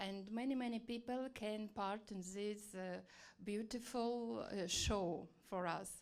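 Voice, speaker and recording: With a Russian accent, a woman with a fairly high voice speaks very slowly with fairly even intonation, and the room echo is audible. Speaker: TV journalist, audience member. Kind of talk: audience question at conference. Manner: halting.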